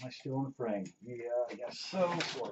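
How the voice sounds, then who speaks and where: Speaking in a Pennsylvania accent, a man talks at a fairly slow pace with lively intonation. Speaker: robot builder, hobbyist YouTuber. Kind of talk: tutorial teardown walkthrough. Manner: casual, hesitant with many fillers.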